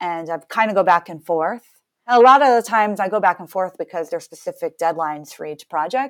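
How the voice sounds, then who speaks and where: A plain, everyday voice speaks at a moderate pace with ordinary pitch variation. The recording is very clean, with a silent background and a dry, close sound with no echo. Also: woman. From US Northeast, Massachusetts. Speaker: composer and musician. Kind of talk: casual interview conversation.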